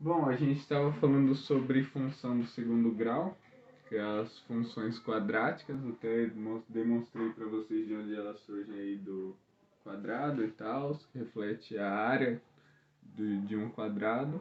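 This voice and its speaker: Here a man speaks at a medium pitch with ordinary pitch variation. He keeps a fairly slow pace. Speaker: school math teacher. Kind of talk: lesson video for students. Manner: soft-spoken; casual.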